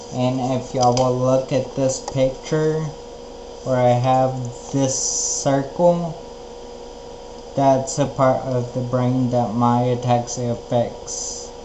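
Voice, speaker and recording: A man's very slow speech with long, frequent pauses, audible room echo and noticeable background noise. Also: medium pitch for a man. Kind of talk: personal video blog. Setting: outdoors. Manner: slow speech due to ataxia.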